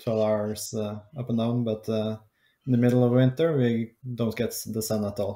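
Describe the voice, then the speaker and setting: The tone is dark and mellow, the pace fairly slow and the intonation fairly even. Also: man. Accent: Norwegian. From Norway, Oslo. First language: Norwegian. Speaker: podcast producer. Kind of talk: casual chat. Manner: halting, many hesitations.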